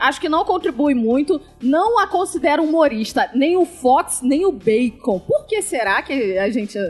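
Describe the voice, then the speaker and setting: A woman speaks at a moderate pace in a high pitch, with very wide pitch swings. Noticeable background noise can be heard. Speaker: podcast panelist. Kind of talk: casual chat.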